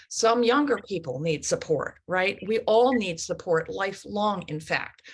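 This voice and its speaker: A woman speaks at a medium pitch with a somewhat breathy quality. Her intonation is lively. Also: fairly slow pace. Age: 70s. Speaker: author and ageism activist. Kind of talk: panel talk. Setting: video call.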